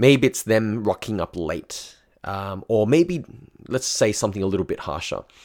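The speaker has an Australian accent and lively intonation at a moderate pace. The recording is very clean, with a silent background. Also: man. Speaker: dating coach. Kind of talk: casual monologue storytelling.

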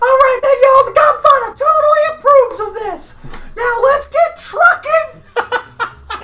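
Someone puts on a character voice with a Southern US accent, pitched extremely high. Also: fairly slow pace. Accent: Southern American. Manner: friendly, jovial.

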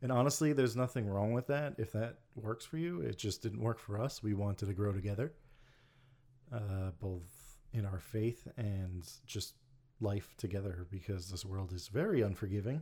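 The recording is very clean, with a silent background. A man speaks at a moderate pace in a fairly low, somewhat breathy voice. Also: ordinary pitch variation. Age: 30s. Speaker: podcast host. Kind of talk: casual chat.

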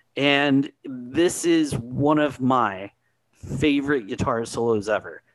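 A man talks in a plain, everyday voice with a fairly high pitch. His pitch varies in an ordinary way, and the background is quiet. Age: 40s. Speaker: music podcast co-host. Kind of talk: casual chat.

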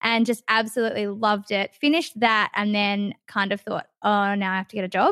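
On a very clean recording with a silent background and a dry, close sound with no echo, a woman with an Australian accent speaks at a moderate pace in a fairly high pitch. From Western Australia, Perth. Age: 20s. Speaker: radio host. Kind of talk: casual chat.

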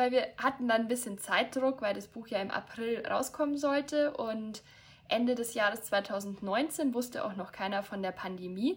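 With lively intonation, a woman speaks fairly slowly. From Bavaria, near Munich. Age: 20s. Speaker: author. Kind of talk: casual chat.

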